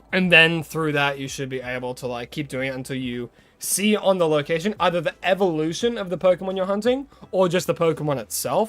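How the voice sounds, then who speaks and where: With music in the background, a man with an American accent speaks at a fairly quick pace, his high pitch carrying lively intonation. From Australia. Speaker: gaming streamer. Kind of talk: live gaming stream chat. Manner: casual, chatty.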